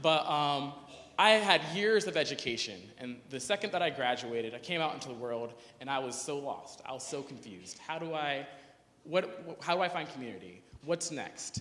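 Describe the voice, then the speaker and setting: With a bright, sharp tone, a man speaks at a fairly high pitch and fairly quick pace. His lively intonation comes through with audible room echo. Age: 20s. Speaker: youth activist, conference speaker. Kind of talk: conference talk. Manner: casual, hesitant with fillers.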